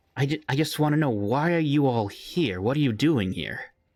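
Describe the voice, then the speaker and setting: A man performs a put-on character voice with a fairly high pitch. The recording is very clean, with a silent background. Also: moderate pace. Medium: actual play. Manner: hesitant, polite.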